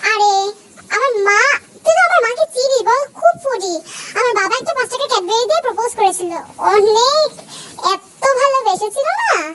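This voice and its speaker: Using a put-on character voice, a woman speaks at an extremely high pitch and a moderate pace with lively intonation. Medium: fan dub. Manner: innocent, easygoing.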